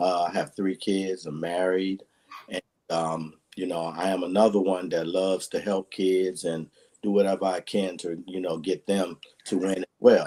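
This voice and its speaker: In an American accent, a man speaks at a moderate pace with a very deep, low pitch, a dark, mellow tone and monotone, flat intonation. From Washington, D.C. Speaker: athletic coach and mentor. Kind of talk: casual chat. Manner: halting, many fillers.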